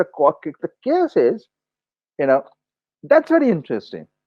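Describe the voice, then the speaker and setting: This is a man speaking. He has a Bengali accent. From India, West Bengal. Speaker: journalist, editorial consultant. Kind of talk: interview conversation. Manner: halting, many fillers and restarts.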